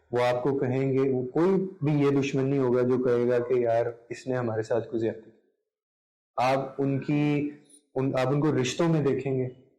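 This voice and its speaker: Fairly even intonation marks this man's unremarkable speaking voice, pitched in the medium range. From Pakistan. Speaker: content creator, radio broadcaster, voice-over artist. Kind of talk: interview answer.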